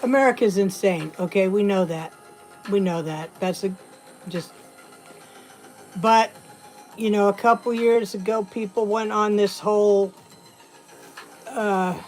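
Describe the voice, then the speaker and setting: Over music in the background, a woman talks at a medium pitch and a fairly slow pace, with fairly even intonation and long, frequent pauses. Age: 60s. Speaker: livestream host. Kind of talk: casual chat.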